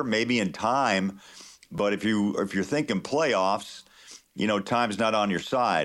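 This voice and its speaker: A man with an American accent and an ordinary speaking voice talks at a fairly low pitch and a moderate pace. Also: very clean recording, silent background. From Kansas. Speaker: NBA play-by-play announcer. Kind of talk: radio interview.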